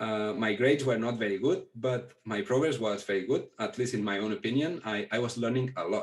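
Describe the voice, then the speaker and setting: This man speaks at a medium pitch with ordinary pitch variation. His pace is fairly quick, with hardly any pauses. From Catalonia, Spain (near Barcelona). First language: Catalan. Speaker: Pali scholar. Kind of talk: interview. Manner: halting.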